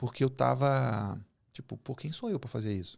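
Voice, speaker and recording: Moderately paced speech from a man, very clean recording, silent background. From Brazil, Rio de Janeiro and Goiás. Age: 40s. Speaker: agribusiness executive and mentor. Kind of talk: casual podcast interview.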